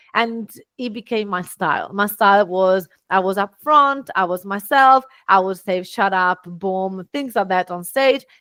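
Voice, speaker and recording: A woman with an Italian accent talks fairly slowly at medium pitch, her bright, sharp tone showing ordinary pitch variation in a dry, close sound with no echo. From Italy. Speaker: business owner and speaker. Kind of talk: podcast interview.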